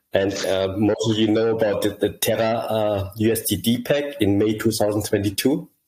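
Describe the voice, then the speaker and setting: A man's fairly low, somewhat breathy voice at a moderate pace, with fairly even intonation, very even loudness and hardly any pauses. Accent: German. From southern Germany, grew up there from childhood. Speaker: crypto project founder. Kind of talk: interview. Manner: halting, many repetitions.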